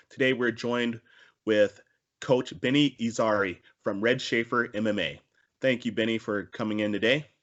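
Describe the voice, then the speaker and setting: With an unremarkable speaking voice, a man talks at a moderate pace and medium pitch with ordinary pitch variation. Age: 40s. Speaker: talk show host. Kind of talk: casual interview.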